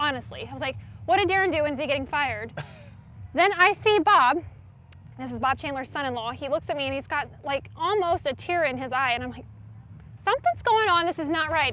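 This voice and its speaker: A woman with an American accent speaks at a fairly quick pace in a raised, projected voice pitched high, leaving long, frequent pauses. Noticeable background noise sits behind her. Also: lively intonation. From North Carolina. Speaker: monster truck driver and emergency room nurse. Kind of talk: interview answer.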